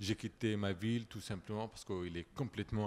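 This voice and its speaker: A man with an Arabic accent talks at a fairly low pitch with ordinary pitch variation. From Syria. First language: Arabic (speaking French). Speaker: refugee, former journalist. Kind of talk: panel discussion.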